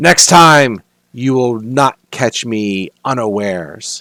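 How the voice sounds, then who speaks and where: A booming put-on character voice from a man at medium pitch, very slow in pace, with lively intonation. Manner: threatening.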